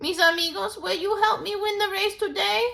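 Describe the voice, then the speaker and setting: In a put-on character voice at an extremely high pitch, the speaker delivers lines at a moderate pace. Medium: read story. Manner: polite, humble.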